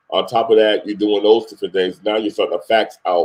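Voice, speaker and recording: A man with a New York accent at a fairly quick pace, in a dry, close sound with no echo. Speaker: music industry CEO. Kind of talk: interview.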